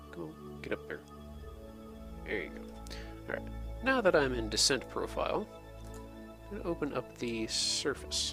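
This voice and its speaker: Music behind a man's moderately paced speech. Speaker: video game let's play host. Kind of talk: gameplay tutorial commentary. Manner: whispery.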